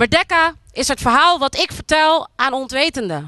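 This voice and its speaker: A woman speaks in a raised, projected voice, high in pitch with a bright, sharp tone. Her intonation is lively, her pace fairly slow, and the background quiet. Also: dry sound with no echo. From Netherlands, Moluccan community. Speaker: spoken word artist. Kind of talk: public speech. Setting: outdoors at monument with audience. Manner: declamatory. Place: open country. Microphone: handheld.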